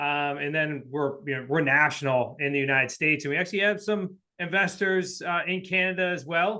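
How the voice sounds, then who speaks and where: A man with a New England accent, fairly high pitch, ordinary pitch variation and a fairly quick pace. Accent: New England accent, noticeable. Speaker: real estate investor and coach. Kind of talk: podcast interview. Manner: casual, filler-heavy.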